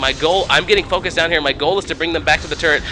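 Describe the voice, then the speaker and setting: Amid noticeable background noise, a man speaks with a fairly high pitch. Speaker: gaming video narrator. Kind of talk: gameplay commentary. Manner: fast.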